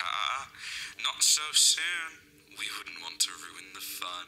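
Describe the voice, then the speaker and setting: A man's put-on character voice at medium pitch, very slow, with very wide pitch swings. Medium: short film. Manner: smug, taunting.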